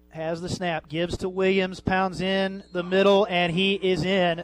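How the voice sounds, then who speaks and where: A man's high-pitched voice comes through with music playing behind it. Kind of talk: live sports commentary. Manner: fast, animated play-by-play, rapid-fire down-and-distance calls, excited on big plays.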